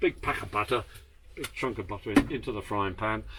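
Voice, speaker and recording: A man is talking rather quickly. His accent is British. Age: 80s+. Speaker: former RAF navigator and aircraft tour guide. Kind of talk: guided tour. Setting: inside aircraft with visitors. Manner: animated.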